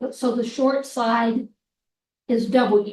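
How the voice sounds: Speaking at a very slow pace, a woman with a fairly high pitch and a slightly mellow tone keeps her intonation fairly even.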